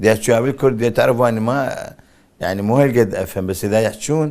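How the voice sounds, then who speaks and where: Here a man with a fairly low pitch is speaking. His pace is fairly quick. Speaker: actor. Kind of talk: interview.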